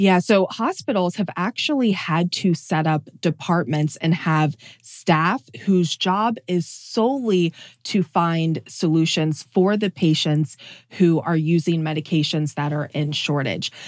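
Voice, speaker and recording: In a normal speaking voice, a woman with a fairly low pitch and ordinary pitch variation speaks at a fairly slow pace, in a very clean, dry, close recording with no echo and a silent background. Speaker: health reporter. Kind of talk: interview.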